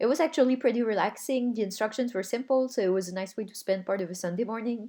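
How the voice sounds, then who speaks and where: A woman's fairly high, dark, mellow voice with a non-native accent, very fast, with ordinary pitch variation, on a very clean recording with a silent background. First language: not English. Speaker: hobbyist video maker. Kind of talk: voice-over narration of crafting video. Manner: casual.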